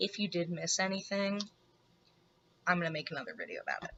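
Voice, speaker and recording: Her pitch sits at a medium level, and the woman's pitch variation is ordinary. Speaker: beauty youtuber. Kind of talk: casual chat.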